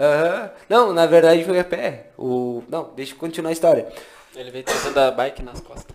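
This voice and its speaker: Big swings in loudness at a moderate pace, with ordinary pitch variation over noticeable background noise. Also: man, high pitch for a man. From Santana do Livramento, Rio Grande do Sul, Brazil. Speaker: podcast co-host. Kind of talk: casual chat.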